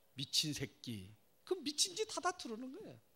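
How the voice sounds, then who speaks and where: A man speaks in a raised, projected voice with a Gyeongsang accent. His tone is bright and sharp, and his pace is moderate. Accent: Gyeongsang Korean. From South Korea, Daegu (Gyeongsang). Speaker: pastor and professor. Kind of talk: sermon. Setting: church. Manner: animated.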